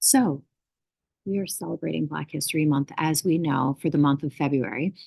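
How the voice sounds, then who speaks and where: A woman whispers with vocal fry in a dry, close recording with no echo. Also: moderate pace. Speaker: school morning announcements host. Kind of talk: school morning announcements. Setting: school library. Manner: whispering a little.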